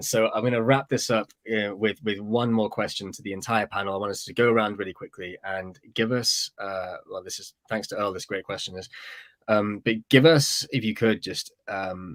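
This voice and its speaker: On a very clean recording with a silent background and a dry, close sound with no echo, a man with a British accent talks at a fairly low pitch with fairly even intonation and big swings in loudness. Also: moderate pace. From Britain. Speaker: webinar host. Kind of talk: panel discussion moderation. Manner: halting, many repetitions.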